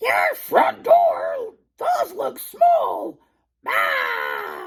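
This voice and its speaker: Shouting, a man performs a put-on character voice. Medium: read story.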